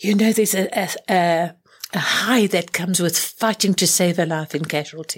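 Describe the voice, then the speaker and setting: A woman speaks with a fairly low pitch and fairly even intonation. Her pace is fairly slow. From South Africa. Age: 70s. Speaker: spiritual teacher and clairvoyant healer. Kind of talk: interview conversation.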